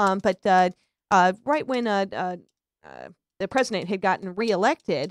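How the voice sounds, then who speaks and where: A woman's medium-pitched voice at a fairly quick pace with ordinary pitch variation, in a very clean recording with a silent background and a dry, close sound with no echo. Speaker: radio talk show host. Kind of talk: casual talk radio chat. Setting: live internet radio stream. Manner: loud; halting, many fillers.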